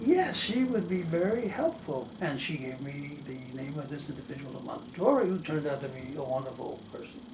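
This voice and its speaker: With lively intonation and a fairly high pitch, a man speaks at a moderate pace amid audible room echo and noticeable background noise. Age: 80s+. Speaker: retired professor of neurology and translator. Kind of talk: interview monologue. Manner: halting.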